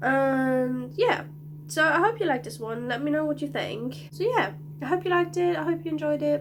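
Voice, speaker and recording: Moderately paced speech from a woman, set against noticeable background noise. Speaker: youtuber. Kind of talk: casual vlog chat. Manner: hesitant, filler-heavy.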